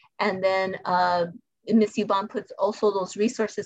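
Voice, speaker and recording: Monotone, flat intonation at a moderate pace, with an American accent. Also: woman. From US Southwest, El Paso, Texas. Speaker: school principal. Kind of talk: interview.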